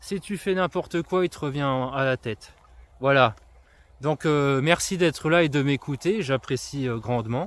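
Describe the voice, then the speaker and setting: A man with fairly high pitch, ordinary pitch variation and big swings in loudness, at a fairly slow pace with long, frequent pauses, in a very clean, dry, close recording with a silent background and no echo. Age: 30s. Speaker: influencer and trail runner. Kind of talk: casual monologue to camera. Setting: outdoors walking on forest trails with dog. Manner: hesitant, many fillers.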